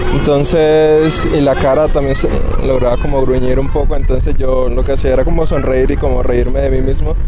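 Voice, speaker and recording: Music plays in the background, and audible room echo surrounds the voice. The pace is moderate and the loudness very even. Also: man. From Colombia, Barranquilla (Caribbean coast). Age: 20s. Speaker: beginner cyclist learning to ride. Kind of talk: casual interview. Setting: outdoors.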